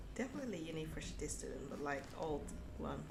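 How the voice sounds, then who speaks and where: Audible room echo hangs around the voice. It belongs to a woman. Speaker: streamer and illustrator. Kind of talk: casual chat. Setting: live stream. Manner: halting.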